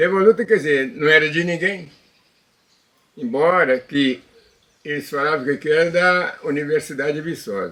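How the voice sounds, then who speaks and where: A man's voice sits fairly high in pitch, with a bright, sharp tone. He leaves long, frequent pauses. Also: ordinary pitch variation, moderate pace. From Minas Gerais, Brazil (Sete Lagoas area). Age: 80s+. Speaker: elderly local resident. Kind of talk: interview. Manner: halting, with repetitions.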